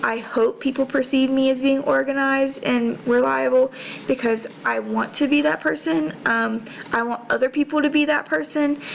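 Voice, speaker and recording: Over noticeable background noise, a woman with an American accent speaks at a moderate pace with very even loudness. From North Carolina, near Winston-Salem. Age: 20s. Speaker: college student. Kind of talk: class presentation. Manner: casual, hesitant with fillers.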